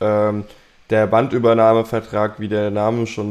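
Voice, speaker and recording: At a very slow pace, a man speaks in a medium-pitched voice. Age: 20s. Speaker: bassist and music manager. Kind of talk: casual chat. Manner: hesitant, many filler sounds.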